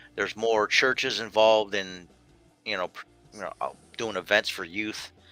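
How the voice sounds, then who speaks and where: A man with an American accent and a fairly low pitch speaks at a moderate pace with fairly even intonation and big swings in loudness. Music plays in the background, and the sound is dry and close with no echo. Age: 50s. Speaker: talk show host. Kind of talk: casual chat. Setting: video call.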